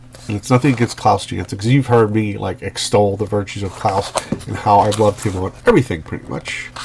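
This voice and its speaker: The pitch varies in an ordinary way. Noticeable background noise runs beneath the speech. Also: man. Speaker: comic art commentator. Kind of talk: casual talk to camera. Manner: hesitant, many fillers.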